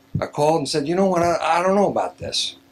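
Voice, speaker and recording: Noticeable background noise sits behind the speaker. A man talks with ordinary pitch variation. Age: 60s. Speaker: LASIK patient giving testimonial. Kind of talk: testimony. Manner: halting.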